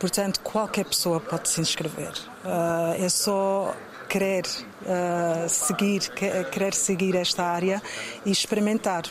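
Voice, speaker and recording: A woman speaks at a very slow pace and medium pitch. Her intonation is fairly even, and there is noticeable background noise. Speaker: model scout. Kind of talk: interview answers. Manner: hesitant, many fillers.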